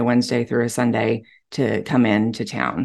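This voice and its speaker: A woman speaks with a Texan accent against a quiet background. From Texas. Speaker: real estate agent. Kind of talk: casual chat.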